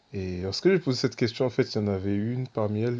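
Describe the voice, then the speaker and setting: Dark and mellow in tone, a man speaks at a medium pitch. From Senegal. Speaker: evangelist. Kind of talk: testimony. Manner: casual, conversational.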